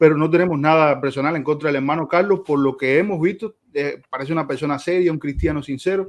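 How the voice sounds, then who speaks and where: The speech runs at a very fast pace with hardly any pauses. Intonation stays fairly even. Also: man, fairly high pitch for a man. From Cuba. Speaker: theology teacher, debater. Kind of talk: debate opening introduction.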